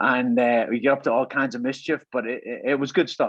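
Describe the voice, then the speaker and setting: The background is quiet as a man talks at a fairly quick pace. His voice sits at a medium pitch with fairly even intonation. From Ireland, Dundalk, County Louth. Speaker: army veteran. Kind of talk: interview. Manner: halting, frequent repetitions.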